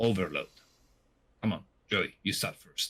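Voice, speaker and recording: A man's bright, sharp tone in an Italian accent. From Italy. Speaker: podcast co-host. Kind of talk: casual podcast chat.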